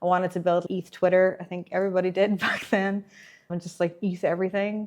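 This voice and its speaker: Speaking at a very fast pace, a woman talks with an American accent. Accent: Irish with some American. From Ireland. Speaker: blockchain developer relations engineer. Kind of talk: interview. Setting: tech conference.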